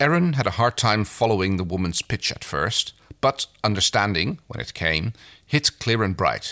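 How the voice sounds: Lively intonation runs through this natural reading voice.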